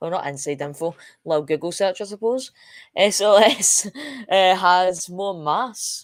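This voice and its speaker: Here a woman talks at a fairly slow pace with a Scottish accent. The recording is very clean, with a silent background. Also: medium pitch for a woman, ordinary pitch variation. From Scotland. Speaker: space live stream host. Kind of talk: live stream commentary. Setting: live stream. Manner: halting, many fillers.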